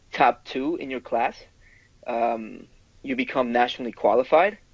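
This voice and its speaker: A man with a Spanish accent speaks at a fairly slow pace in a medium pitch over a quiet background. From Ecuador. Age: 20s. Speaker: personal trainer, amateur physique competitor. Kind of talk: interview answer.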